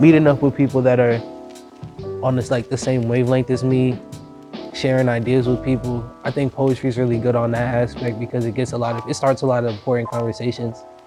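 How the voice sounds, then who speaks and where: A very fast-talking man with an American accent and fairly even intonation, music in the background. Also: medium pitch for a man. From Boston, Dorchester. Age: young. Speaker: slam poet. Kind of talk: interview answer. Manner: casual.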